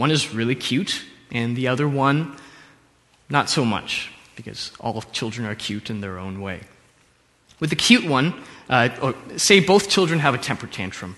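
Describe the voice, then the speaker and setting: With lively intonation and a medium pitch, a man talks at a moderate pace, leaving long, frequent pauses. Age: young. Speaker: preacher. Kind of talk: sermon.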